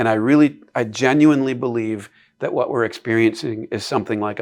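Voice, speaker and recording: In an American accent, a man speaks at a moderate pace and medium pitch in an unremarkable speaking voice, on a very clean recording with a silent background. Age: 60s. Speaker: classical education advocate. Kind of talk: interview conversation.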